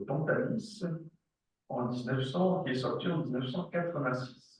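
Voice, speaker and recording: Lively intonation marks this man's fairly high-pitched voice with a German accent, heard with audible room echo. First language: German dialect (speaking French). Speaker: psychoanalyst and professor. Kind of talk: lecture.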